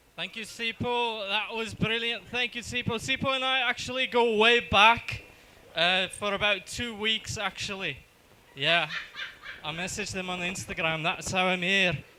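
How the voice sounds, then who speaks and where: With a raised, projected voice, this man speaks at a high pitch and uses ordinary pitch variation. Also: moderate pace. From South Africa, Johannesburg. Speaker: stand-up comedian. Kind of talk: stand-up. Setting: stage with audience.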